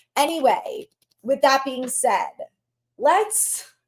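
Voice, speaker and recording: A woman sounds animated, her high pitch swinging very widely. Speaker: sports podcast host. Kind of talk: solo podcast commentary. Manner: loud. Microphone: no external microphone, built-in mic.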